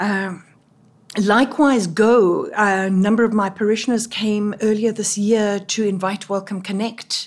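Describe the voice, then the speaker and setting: Speaking with a South African accent, a woman talks at a fairly slow pace with fairly even intonation. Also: medium pitch for a woman, very clean recording, silent background. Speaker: Anglican priest and doctoral student. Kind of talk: interview, conversational.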